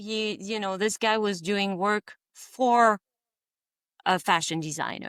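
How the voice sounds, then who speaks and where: A woman with a French accent at a medium pitch, at a very slow pace, in a dry, close sound with no echo and a very clean recording with a silent background. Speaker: visionary artist. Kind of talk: interview. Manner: halting.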